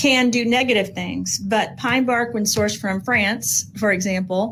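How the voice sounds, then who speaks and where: This woman talks at a fairly slow pace, her pitch medium with ordinary variation. Vocal fry runs through her voice. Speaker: formulator of health supplements. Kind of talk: casual chat. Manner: rambling with fillers.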